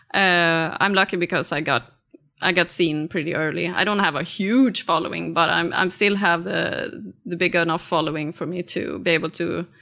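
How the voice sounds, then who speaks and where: A woman's bright, sharp voice with a Swedish accent, vocal fry and ordinary pitch variation, on a very clean recording with a silent background. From rural Sweden. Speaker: artist. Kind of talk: interview conversation. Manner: halting, many fillers.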